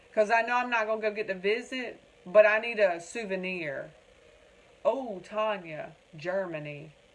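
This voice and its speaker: Through noticeable background noise and audible room echo, a woman with a Southern US accent speaks at a moderate pace and a fairly high pitch, with ordinary pitch variation. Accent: Southern US, country. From North Carolina (Wilmington). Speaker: crafter demonstrating tumbler making. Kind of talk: livestream chat with viewers. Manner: animated.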